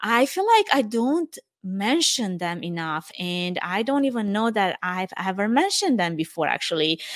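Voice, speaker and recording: Speaking at a moderate pace with lively intonation, a woman with a Romanian accent talks at medium pitch on a very clean recording with a silent background. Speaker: event production podcast host. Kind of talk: solo reflective monologue.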